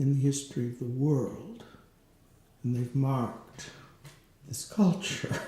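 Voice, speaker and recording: In a room with audible echo, a man speaks somewhat breathy at medium pitch and a fairly slow pace, with ordinary pitch variation and long, frequent pauses. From rural farm upbringing. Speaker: interviewer. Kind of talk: interview.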